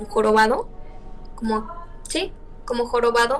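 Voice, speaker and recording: A woman speaks at a moderate pace. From León, Spain or Mexico. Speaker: interviewee telling a real horror experience. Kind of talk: interview answer, personal horror story told over video call.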